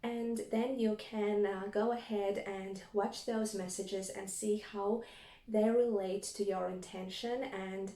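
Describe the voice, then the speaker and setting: In a Latvian accent, a woman talks fairly slowly with a dark, mellow tone and monotone, flat intonation. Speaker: tarot reader. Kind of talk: spiritual reading monologue.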